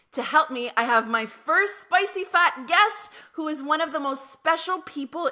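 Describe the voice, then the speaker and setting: A woman projects a raised voice at a high pitch with lively intonation. She talks at a fairly slow pace with hardly any pauses. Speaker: psychotherapist and podcast host. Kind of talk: podcast intro monologue.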